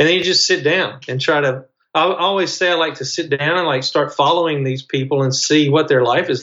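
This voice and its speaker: A man speaks in a Mississippi accent with a fairly high pitch. His pace is moderate and his pitch varies in an ordinary way. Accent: Mississippi Southern US. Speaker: novelist. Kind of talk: interview.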